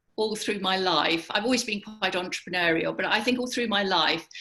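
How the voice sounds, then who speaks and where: A woman with an English accent and a fairly high pitch. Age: 70s. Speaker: business founder. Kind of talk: interview.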